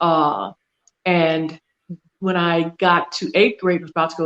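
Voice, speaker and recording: A woman speaks in an American accent with an unremarkable speaking voice. Her pitch is fairly low and her pace fairly slow. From US South. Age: 60s. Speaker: wealth and trust consultant. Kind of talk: interview.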